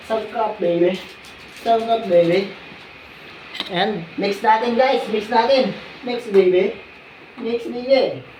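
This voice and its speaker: With audible room echo and noticeable background noise, a woman talks at a very slow pace in a fairly high pitch, with long, frequent pauses and ordinary pitch variation. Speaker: vlogger. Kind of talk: cooking vlog. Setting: at home alone. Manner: loud.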